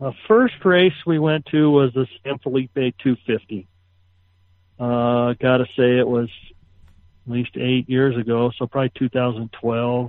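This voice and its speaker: A man speaks at a very slow pace with fairly even intonation. His pitch is medium. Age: 50s. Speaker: off-road race truck driver. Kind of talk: casual chat.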